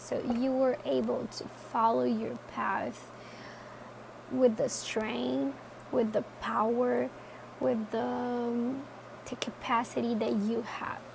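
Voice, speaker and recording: A woman with a non-native accent, very slow pace, long and frequent pauses, and noticeable background noise. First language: not English. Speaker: tarot reader. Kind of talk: tarot reading talk to camera. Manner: casual, hesitant.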